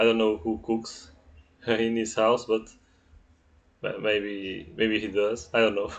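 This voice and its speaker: A man with a Portuguese accent at a fairly slow pace. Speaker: astrologer. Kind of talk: astrology reading monologue. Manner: halting, many fillers and repetitions.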